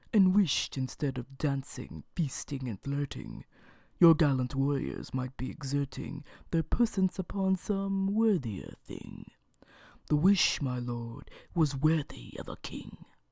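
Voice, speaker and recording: Over a silent background in a very clean recording, a put-on character voice speaks fairly slowly at a low-to-middle pitch. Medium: read story. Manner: courteous, mocking.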